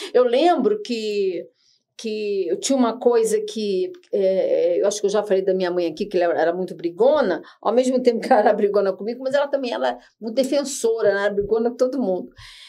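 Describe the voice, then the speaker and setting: A woman's fairly high voice with a dark, mellow tone, lively intonation and a fairly quick pace. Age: 60s. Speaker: podcast host. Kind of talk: panel discussion. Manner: halting.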